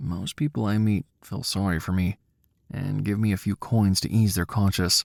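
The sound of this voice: Fairly even in intonation, an unforced reading voice carries over a quiet background.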